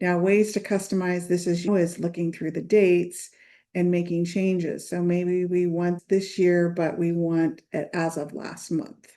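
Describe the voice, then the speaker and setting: A woman speaks in a dark, mellow tone with a fairly low pitch. Her intonation stays flat and monotone at a fairly slow pace. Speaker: accountant and channel host. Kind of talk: tutorial. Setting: screen share.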